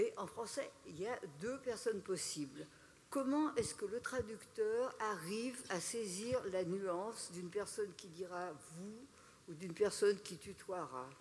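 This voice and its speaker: Someone talks at a fairly slow pace over light background noise. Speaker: reader. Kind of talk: reading aloud. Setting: stage with audience. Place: stage. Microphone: podium.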